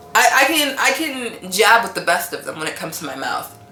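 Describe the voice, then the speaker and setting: A woman speaks in an animated tone at a moderate pace. Music plays in the background, and the room echo is audible. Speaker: wellness vlogger. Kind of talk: casual monologue vlog. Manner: loud.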